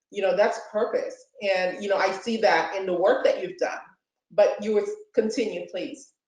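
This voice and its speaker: Audible room echo colors this woman's voice. She talks at a moderate pace. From Haiti. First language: French. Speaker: interview show host. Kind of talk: interview conversation.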